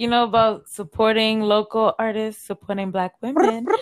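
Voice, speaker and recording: A woman with a fairly high pitch speaks in a plain, everyday voice. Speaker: podcast host. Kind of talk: casual chat. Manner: casual, laughs often.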